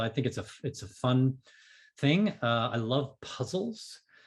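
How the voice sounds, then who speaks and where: A somewhat breathy man with lively intonation. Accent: American. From New England (Boston area). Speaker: business coach and author. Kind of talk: podcast interview. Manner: fast.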